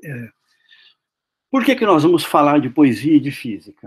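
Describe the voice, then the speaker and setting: A man with a Paraná interior accent and very wide pitch swings. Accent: caipira accent of interior Paraná. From Brazil, interior of Paraná (Maringá). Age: 60s. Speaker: physics professor. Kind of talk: lecture. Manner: halting, many fillers.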